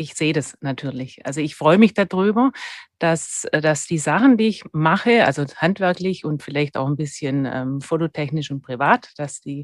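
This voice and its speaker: A woman with a Swabian accent speaks at a moderate pace in a very deep, low pitch with lively intonation, over a quiet background and with a dry, close sound with no echo. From Germany, Swabia (Stuttgart). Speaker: dental technician. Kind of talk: interview.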